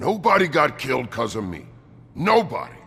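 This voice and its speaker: Faint music plays in the background as a man does a put-on character voice at a fairly high pitch with very wide pitch swings. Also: moderate pace. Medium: video game.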